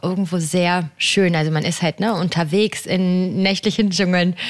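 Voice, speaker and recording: Here a woman speaks in an ordinary speaking voice at a moderate pace, with ordinary pitch variation, very even loudness and hardly any pauses. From western Germany (Haltern am See, NRW). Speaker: marine biologist. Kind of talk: radio interview.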